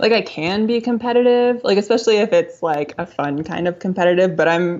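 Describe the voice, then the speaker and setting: A soft-spoken woman with an American accent talks at a fairly quick pace. Her pitch sits in the medium range, with ordinary variation. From New England, Connecticut. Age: 20s. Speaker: biologist and artist. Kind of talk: podcast interview.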